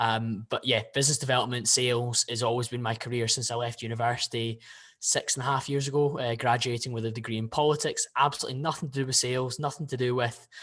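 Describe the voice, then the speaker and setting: A man with a Scottish accent speaks at a very fast pace and a medium pitch. His intonation is monotone and flat, and the background is quiet. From Scotland, Glasgow (Bearsden). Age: 20s. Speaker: podcast guest, fitness influencer and investor. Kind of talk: casual interview chat.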